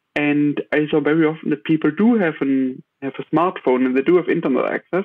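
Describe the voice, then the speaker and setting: With a German accent, a man talks at a fairly quick pace and a fairly high pitch, showing ordinary pitch variation. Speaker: tech startup founder. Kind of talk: interview. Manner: halting, many fillers.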